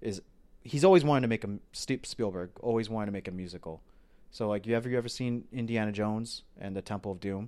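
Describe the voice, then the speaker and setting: Fairly low in pitch, a man with an American accent has a dark, mellow tone and ordinary pitch variation. He speaks at a very fast pace. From US South, Florida. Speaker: film podcast host. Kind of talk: casual chat.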